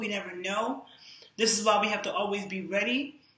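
A woman with an American accent speaks with fairly even intonation amid audible room echo. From New York. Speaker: fitness and nutrition influencer; nutrition influencer. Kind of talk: live-streamed monologue. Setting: live social media stream. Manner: casual, frequent fillers. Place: home room. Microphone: camera far.

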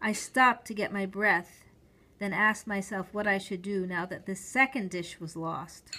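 Fairly even intonation in a natural reading voice

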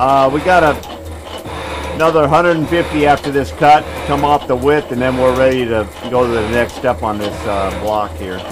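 With lively intonation and a moderate pace, a man speaks over noticeable background noise. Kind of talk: tutorial. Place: workshop.

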